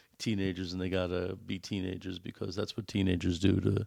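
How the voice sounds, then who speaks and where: A man in a New York accent, fairly low-pitched, at a moderate pace. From US Northeast, New York City. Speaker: podcast co-host, father. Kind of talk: casual chat. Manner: hesitant, many fillers and repeats.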